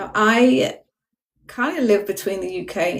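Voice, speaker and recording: With a British accent, a woman speaks at medium pitch with vocal fry. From UK, Jamaican family. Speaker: spiritual guest. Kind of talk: casual livestream chat. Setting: TikTok livestream.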